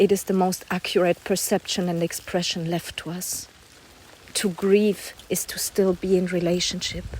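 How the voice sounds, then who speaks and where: A woman at medium pitch and moderate pace, flat and monotone in intonation. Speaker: poet. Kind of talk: spoken word poetry reading. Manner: intense, not calm.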